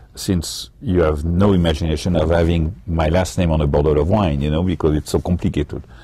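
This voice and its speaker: Over noticeable background noise, a man with a very deep, low pitch talks at a fairly quick pace with hardly any pauses. His loudness is very even and his intonation fairly even. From France. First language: French. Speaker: winery owner and winemaker. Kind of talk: casual interview. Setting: live webcast from a winery tasting room.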